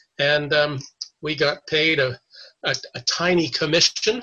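Speaking with a Canadian accent, a man uses a fairly high pitch and fairly even intonation, his tone bright and sharp. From Canada (Toronto). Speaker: 9/11 survivor, retired broker. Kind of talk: interview testimony. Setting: video call.

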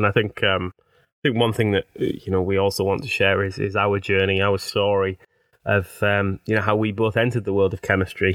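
In a Teesside accent, a man speaks at a fairly quick pace with monotone, flat intonation. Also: fairly low pitch for a man. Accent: Teesside (north-east English), noticeable. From Teesside, north-east England. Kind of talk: casual chat, conversational podcast.

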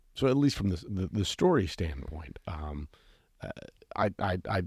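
The voice has a dark, mellow tone and sounds somewhat breathy. The recording is very clean, with a silent background. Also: man. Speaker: podcast host. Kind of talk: casual chat. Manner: hesitant, filler-heavy.

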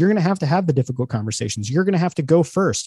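A man's fairly high-pitched voice with a dark, mellow tone, dry and close with no echo, over a quiet background. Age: 40s. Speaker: author and leadership speaker. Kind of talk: interview.

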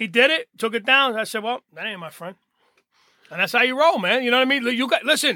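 A man with a New Jersey accent in a raised, projected voice, extremely high-pitched and bright and sharp, racing along at a very fast pace with lively intonation and big swings in loudness. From Hoboken, New Jersey. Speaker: recovery mentor. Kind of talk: casual chat. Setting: studio.

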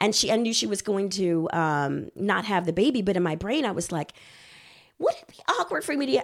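On a very clean recording with a silent background, a woman with an American accent speaks at a fairly quick pace. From Texas. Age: 40s. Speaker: marriage and family therapist. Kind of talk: casual chat.

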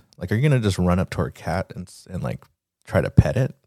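A man mumbles with a very deep, low pitch, a dark, mellow tone, vocal fry and lively intonation. The recording is very clean with a silent background, and the sound is dry and close with no echo. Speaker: podcast host. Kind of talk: casual solo podcast monologue. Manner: mumbling.

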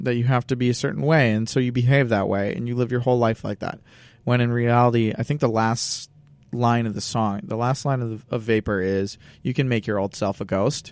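With an unremarkable speaking voice, a man speaks at a moderate pace with a medium pitch and fairly even intonation, in a very clean recording with a silent background. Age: 20s. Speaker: musician. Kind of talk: casual chat.

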